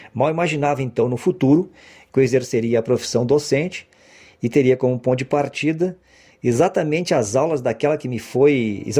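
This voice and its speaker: The speaker has a dark, mellow tone and a fairly quick pace. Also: man. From Brazil, Porto Alegre (Rio Grande do Sul). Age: 50s. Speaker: university professor. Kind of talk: oral history testimony. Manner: formal.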